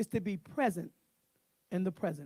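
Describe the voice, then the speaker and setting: Animated in tone, a man speaks with a dry, close sound and no echo. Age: 60s. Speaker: minister speaking at men's event. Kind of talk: sermon.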